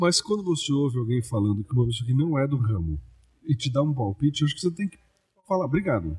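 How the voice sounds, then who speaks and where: At a very fast pace, a man speaks with medium pitch and very wide pitch swings. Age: 60s. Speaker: comedian. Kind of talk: interview. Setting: podcast. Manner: talkative.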